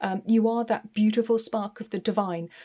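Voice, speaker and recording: Talking at a fairly quick pace, a woman with a British accent has a fairly high pitch and a dark, mellow tone. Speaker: tarot reader. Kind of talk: tarot reading. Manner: hesitant, many fillers.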